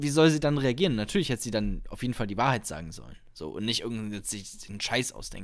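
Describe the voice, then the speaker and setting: A man talks at a fairly quick pace in an ordinary speaking voice, with lively intonation. The recording is very clean, with a silent background. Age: 20s. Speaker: podcast co-host, student, amateur comedian. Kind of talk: casual chat.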